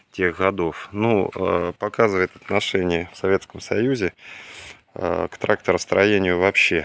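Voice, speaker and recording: A man speaks very slowly in a very deep, low voice with fairly even intonation, the sound dry and free of echo. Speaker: vintage tractor enthusiast vlogger; owner showing tractor. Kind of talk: casual video walkthrough. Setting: outdoors, plane flying overhead at one point. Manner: unhurried, many filler words. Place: garden. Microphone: phone near.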